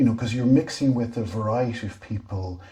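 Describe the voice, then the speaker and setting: A man at a fairly quick pace with fairly even intonation, amid noticeable background noise. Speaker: interviewer and series host. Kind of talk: interview questions.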